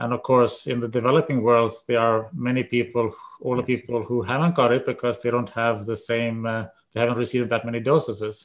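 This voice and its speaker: Fairly quick delivery from a man at a medium pitch, intonation fairly even. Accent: Swedish. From Sweden. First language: Swedish. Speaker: epidemiology professor. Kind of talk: interview. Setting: video call.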